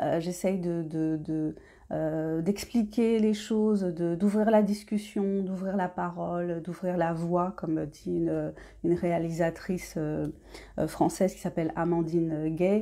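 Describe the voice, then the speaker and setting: A woman speaks very slowly in a dark, mellow tone at a fairly low pitch. The recording is very clean, with a silent background. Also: fairly even intonation. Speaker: independent novelist. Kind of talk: casual talk to camera. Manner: hesitant, many fillers.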